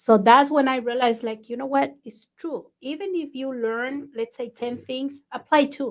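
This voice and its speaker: Speaking at a moderate pace with a non-native accent, a woman uses a high pitch and big swings in loudness. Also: fairly even intonation. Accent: foreign accent in English. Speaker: podcast host, real estate agent. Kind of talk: casual interview chat.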